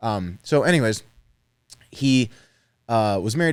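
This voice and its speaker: A man talks at a moderate pace in a fairly low pitch with ordinary pitch variation. The recording is very clean, with a silent background. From New York City, US. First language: Spanish. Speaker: entrepreneur. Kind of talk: casual chat.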